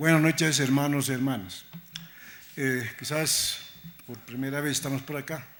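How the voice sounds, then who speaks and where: With a non-native accent, a man talks at a fairly high pitch with fairly even intonation, and audible room echo surrounds his voice. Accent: non-native Spanish, self-described. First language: Aymara (speaking Spanish). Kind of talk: conference talk. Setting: museum lecture hall with audience.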